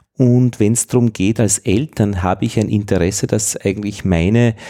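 A man's dark, mellow voice, fairly low in pitch, on a very clean recording with a silent background. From Upper Austria, rural. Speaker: podcast host. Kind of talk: interview.

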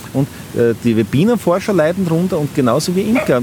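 A man speaks with lively intonation over music in the background. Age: 40s. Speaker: commercial beekeeper. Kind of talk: interview. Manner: halting, many repetitions.

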